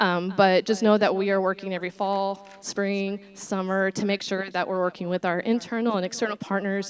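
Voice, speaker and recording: A woman with a medium pitch. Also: quiet background. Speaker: college program coordinator. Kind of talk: presentation. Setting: board meeting. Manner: fast; hesitant with many fillers.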